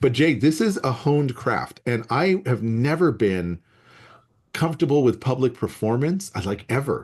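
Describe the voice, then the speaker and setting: Here a man talks at a moderate pace and medium pitch, his voice somewhat breathy. His intonation is lively, and the background is quiet. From US Southwest desert. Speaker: biology professor. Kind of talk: casual chat. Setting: video call.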